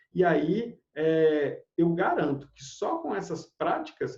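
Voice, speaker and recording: His pitch varies in an ordinary way. A man is speaking, and his voice sits high. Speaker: Ayurveda teacher. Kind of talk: online class.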